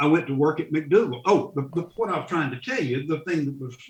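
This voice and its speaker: A man with a fairly high pitch, somewhat breathy, at a very fast pace. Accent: Southern US. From US South, central North Carolina. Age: 70s. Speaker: funeral director and Vietnam veteran. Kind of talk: interview conversation. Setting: podcast. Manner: halting, repeats words.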